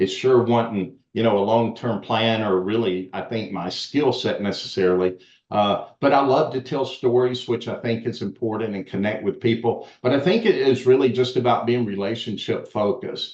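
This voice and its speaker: Hardly pausing, a man with a Southern US accent talks at a moderate pace with medium pitch and ordinary pitch variation. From US South. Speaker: education expert and author. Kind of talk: podcast interview.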